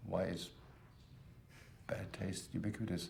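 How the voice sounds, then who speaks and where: A man with a German accent amid audible room echo. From Germany. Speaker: type designer. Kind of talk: documentary interview. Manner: fast; loud.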